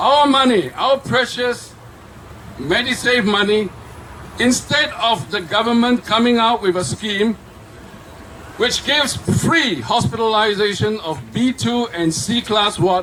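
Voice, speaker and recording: The voice is raised and projected, with lively intonation at a fairly slow pace. Long, frequent pauses break it up over noticeable background noise. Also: man, high pitch for a man. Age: 70s. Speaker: speaker at a political rally. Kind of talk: rally speech. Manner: animated.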